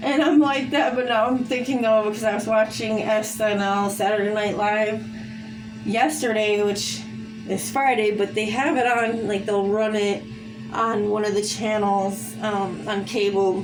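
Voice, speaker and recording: A woman with a fairly high pitch and fairly even intonation speaks in a room with audible echo while music plays in the background. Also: fairly slow pace. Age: 40s. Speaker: vlogger. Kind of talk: casual monologue. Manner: rambling, halting with fillers.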